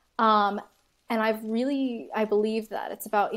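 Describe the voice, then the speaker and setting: Speaking with an American accent, a woman keeps a medium pitch and fairly even intonation at a fairly quick pace. The recording is very clean, with a silent background. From US South, Georgia (Atlanta area). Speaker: singer-songwriter. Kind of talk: interview.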